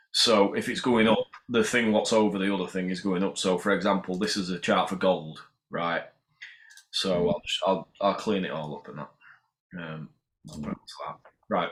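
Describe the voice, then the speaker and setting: In a Yorkshire accent, a man talks at a fairly low pitch and a moderate pace. He leaves long, frequent pauses, and his pitch varies in an ordinary way. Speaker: amateur crypto trader. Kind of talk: casual explanation of trading charts. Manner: casual, sweary.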